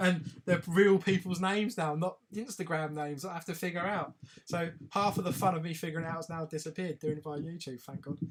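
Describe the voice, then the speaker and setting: A very fast pace with fairly even intonation. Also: man, high pitch for a man. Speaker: live stream host. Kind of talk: casual live stream chat. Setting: live video stream.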